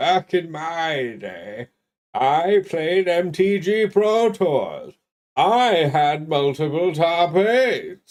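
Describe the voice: A man performs a put-on character voice. It sits high in pitch and moves at a very slow pace.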